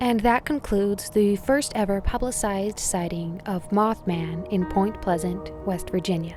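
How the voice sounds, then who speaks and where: With music in the background, the voice flows with hardly any pauses and ordinary pitch variation. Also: woman, medium pitch for a woman, moderate pace. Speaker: radio show host, narrator. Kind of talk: mystery radio show narration, scary stories.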